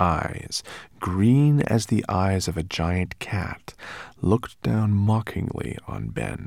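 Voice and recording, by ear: Someone reads aloud in a natural voice, with ordinary pitch variation.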